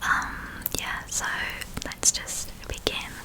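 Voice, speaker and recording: Through noticeable background noise comes whispering at a fairly slow pace. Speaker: ASMR creator. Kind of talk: ASMR whispered talk to camera. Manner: whispered.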